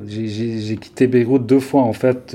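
Over noticeable background noise, a man with a medium pitch speaks at a very slow pace with fairly even intonation. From Lebanon, Beirut. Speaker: architect and ambient musician. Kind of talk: interview. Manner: halting.

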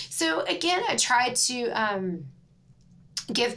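Speaking with an American accent, a woman uses a fairly high pitch and very wide pitch swings. Noticeable background noise runs under her voice. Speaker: trauma surgeon. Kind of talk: casual chat.

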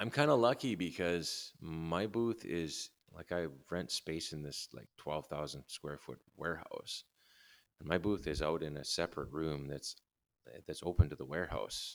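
A man with a Canadian accent speaks at a moderate pace in a very deep, low voice. His loudness swings widely while his pitch varies in an ordinary way. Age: 50s. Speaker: guitar builder. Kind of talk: casual interview chat.

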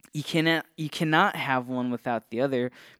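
In a plain, everyday voice, a man with an American accent speaks at a medium pitch with ordinary pitch variation, the sound dry and close with no echo on a very clean recording over a silent background. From Northeast Ohio. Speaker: podcast host. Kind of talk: casual solo talk on theology. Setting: podcast studio. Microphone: testing a new studio's equipment.

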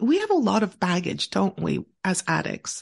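A woman at a fairly slow pace, over a quiet background. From Montreal, Quebec, Canada. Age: 50s. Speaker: author and speaker on addiction recovery. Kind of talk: interview testimony.

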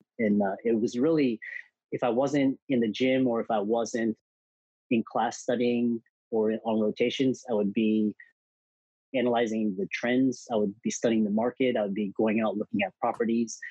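A man with an American accent, a normal speaking voice, medium pitch, very even loudness and a moderate pace. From US South, Houston, Texas. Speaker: physician and entrepreneur. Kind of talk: interview.

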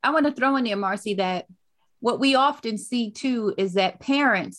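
In a very clean recording with a silent background, a woman with an American accent speaks in a plain, everyday voice with ordinary pitch variation. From Brooklyn, New York and North Carolina. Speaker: podcast host. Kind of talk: casual interview.

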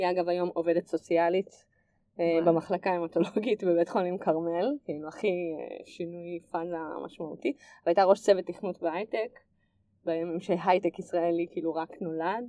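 A woman with an unremarkable speaking voice talks at a moderate pace, her fairly low pitch held in fairly even intonation. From Israel, Nesher. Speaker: tech entrepreneur. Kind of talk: interview.

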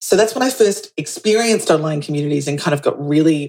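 Speaking very fast, a woman uses lively intonation and a very deep, low pitch. She talks in an Australian accent. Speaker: community manager and consultant. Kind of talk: interview podcast.

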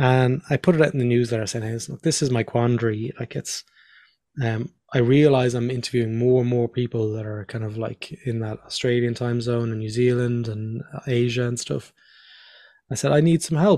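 A man with a Dublin accent talks at a fairly quick pace and medium pitch, his tone dark and mellow with fairly even intonation. The recording is very clean, dry and close, with a silent background and no echo. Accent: Irish (Dublin area). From Ireland, near Dublin. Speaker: design professional and podcast host. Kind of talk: casual interview.

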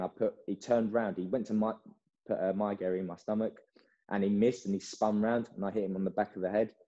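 In an English accent, a man speaks with a dark, mellow tone at a fairly low pitch, his intonation monotone and flat. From England. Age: 20s. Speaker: karate athlete. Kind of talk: interview.

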